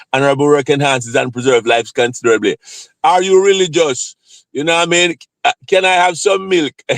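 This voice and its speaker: The speech comes at a fairly quick pace in a Jamaican accent. The sound is dry and close, with no echo. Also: man. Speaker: live streamer, psychiatric nurse practitioner. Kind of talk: casual live stream chat. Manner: repetitive, halting.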